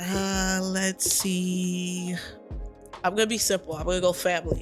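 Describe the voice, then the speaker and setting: A woman speaks in a monotone, flat way at a medium pitch and a fairly slow pace. Music plays in the background. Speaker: poet. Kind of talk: podcast interview, casual talk.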